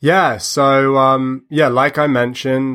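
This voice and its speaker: A man talks with a British accent and a bright, sharp tone. The recording is very clean, with a silent background. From United Kingdom. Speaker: musician. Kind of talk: interview. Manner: hesitant, many fillers.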